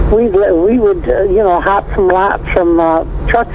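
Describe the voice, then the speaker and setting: Against noticeable background noise, a woman talks at a fairly slow pace in a medium pitch with ordinary pitch variation. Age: 70s. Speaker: caller, retired carnival worker. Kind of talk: phone-in chat. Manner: perky.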